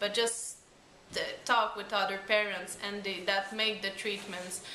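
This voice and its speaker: Amid noticeable background noise and audible room echo, a woman with a Quebec accent speaks at a medium pitch and a fairly slow pace. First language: French. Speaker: parent of a patient. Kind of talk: interview. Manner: halting.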